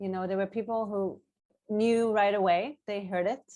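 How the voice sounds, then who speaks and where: With a strong Israeli accent, a woman speaks at a moderate pace at a medium pitch and with fairly even intonation. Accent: Israeli accent, thicker now. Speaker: author. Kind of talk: panel discussion. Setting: video call.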